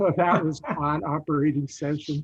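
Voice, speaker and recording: A man speaks at a moderate pace in a fairly high pitch, somewhat breathy. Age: 70s. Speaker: model railroad hobbyist. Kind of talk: casual chat.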